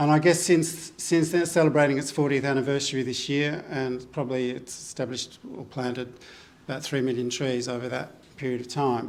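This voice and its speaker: A man talks at a fairly quick pace with an Australian accent and fairly even intonation. Room echo is audible. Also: medium pitch for a man. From Australia, northern Victoria (Wangaratta). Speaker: botanist and environmental researcher. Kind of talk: symposium talk. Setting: gallery stage with live audience. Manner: halting, many fillers.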